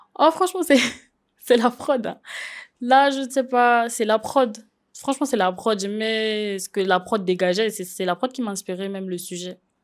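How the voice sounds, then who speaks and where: Lively intonation and big swings in loudness come at a fairly slow pace on a very clean recording with a silent background. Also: woman, fairly high pitch for a woman. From Gabon. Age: 20s. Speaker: singer. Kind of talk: interview. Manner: casual, hesitant.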